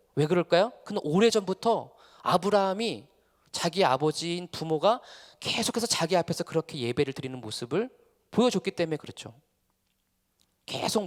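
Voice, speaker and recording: Speaking at a fairly quick pace with lively intonation, a man uses a high voice captured in a dry, close sound with no echo. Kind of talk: lecture. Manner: fast.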